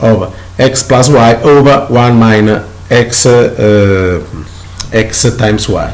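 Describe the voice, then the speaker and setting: Amid noticeable background noise and audible room echo, a man with an Italian accent speaks at a medium pitch with fairly even intonation. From Italy. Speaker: math teacher. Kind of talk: lecture. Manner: halting.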